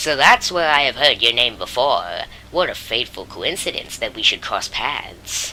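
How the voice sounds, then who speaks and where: A put-on character voice at a middle pitch comes through over clear background noise. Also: moderate pace. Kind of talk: regal, formal speech. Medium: game stream. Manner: grand, warm, formal.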